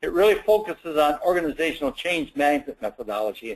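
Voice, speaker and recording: A man speaks at a fairly quick pace with lively intonation. His pitch sits fairly high. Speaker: quality management consultant presenting a webinar. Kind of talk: webinar presentation. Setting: online webinar. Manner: fast; hesitant with many fillers.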